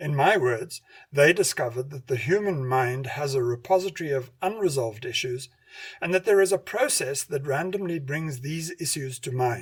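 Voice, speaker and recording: Speaking at a moderate pace, a man's fairly high, somewhat breathy voice carries lively intonation. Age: 60s. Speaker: radio host and hypnotherapy lecturer. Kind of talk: scripted narration.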